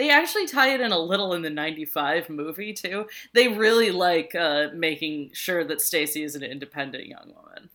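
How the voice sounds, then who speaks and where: A woman's fairly low voice with a bright, sharp tone, fairly quick pace, hardly any pauses, and big swings in loudness. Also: lively intonation. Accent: American. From New York area, outer borough. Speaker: podcast co-host. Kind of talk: casual chat.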